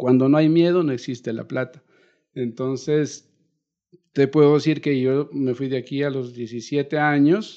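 A man speaks with a dark, mellow tone, a fairly high pitch and fairly even intonation. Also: fairly slow pace. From Colombia, Nariño (Ipiales). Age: 50s. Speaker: musician. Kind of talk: interview.

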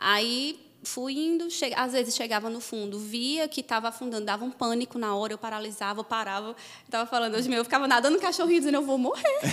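Intonation here is lively. The pace is fairly quick. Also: woman. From interior of Paraíba, Brazil. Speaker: psychologist, successful exam candidate. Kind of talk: interview, personal testimony.

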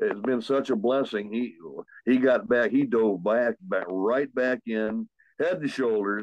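A man is speaking. His pace is fairly slow.

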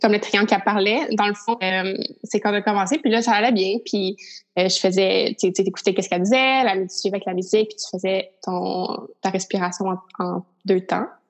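A medium-pitched woman at a moderate pace with fairly even intonation. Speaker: podcast host. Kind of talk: casual interview.

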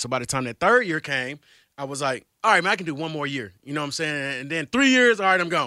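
With an American accent and a bright, sharp tone, a man talks at a very fast pace and fairly high pitch, making very wide pitch swings, in a very clean recording with a silent background and a dry, close sound with no echo. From Georgia, US South. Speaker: radio personality. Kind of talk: casual interview, storytelling.

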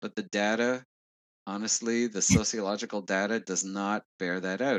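Recorded dry and close with no echo, a man with a Montreal accent speaks at a moderate pace in a fairly low pitch with fairly even intonation. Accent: Anglophone Montreal Canadian English. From Quebec, Montreal West Island. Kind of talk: interview answering questions.

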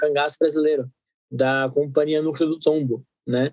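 A man with an ordinary speaking voice and a fairly high pitch talks at a moderate pace in a dry, close sound with no echo. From Brazil, Guarulhos (São Paulo area). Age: 20s. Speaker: actor and theatre director. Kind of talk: casual interview.

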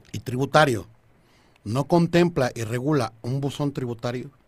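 Lively intonation runs through a man's somewhat breathy speech. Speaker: tax law radio host. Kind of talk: legal explainer on radio. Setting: radio studio, live. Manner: stammering, repeats words; joking, informal.

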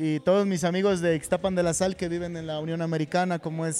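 With a central Mexican accent, a man talks at a fairly quick pace. His pitch is high and his intonation monotone and flat. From central Mexico (State of Mexico). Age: 40s. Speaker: football coach. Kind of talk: casual interview. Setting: restaurant venue.

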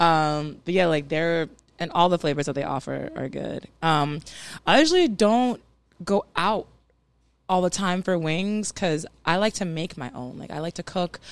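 A woman with an American accent speaks at a fairly low pitch, using ordinary pitch variation and big swings in loudness, on a very clean recording with a silent background. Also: moderate pace. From US South. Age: 30s. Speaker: poet and beer drinker guest. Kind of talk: casual chat. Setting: brewery.

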